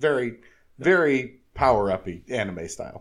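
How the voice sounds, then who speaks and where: With an unremarkable speaking voice, a man talks at a medium pitch and with lively intonation. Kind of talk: casual chat.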